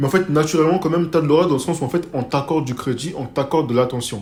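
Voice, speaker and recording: At a very fast pace, a man speaks in a fairly high pitch with ordinary pitch variation. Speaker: self-improvement youtuber. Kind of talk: casual advice monologue. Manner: casual, filler-heavy.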